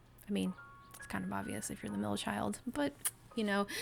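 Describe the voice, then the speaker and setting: Music plays in the background. A woman talks at a fairly quick pace. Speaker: art YouTuber. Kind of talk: art video voiceover commentary. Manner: stumbles over words; casual, chatty.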